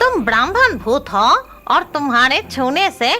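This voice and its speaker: A cartoonish character voice that sounds female swings very widely in pitch over clear background noise. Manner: bossy.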